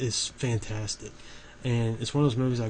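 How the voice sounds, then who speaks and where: A man talks at a moderate pace and a medium pitch. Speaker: horror movie YouTuber. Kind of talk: casual video commentary. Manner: halting, with many fillers and restarts.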